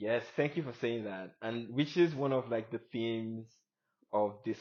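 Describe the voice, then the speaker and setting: A man with a non-native accent is speaking. His voice sits at a medium pitch with ordinary pitch variation. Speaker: podcast host. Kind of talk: casual interview chat. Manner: hesitant, many fillers.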